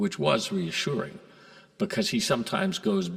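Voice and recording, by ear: A passage read aloud in a natural voice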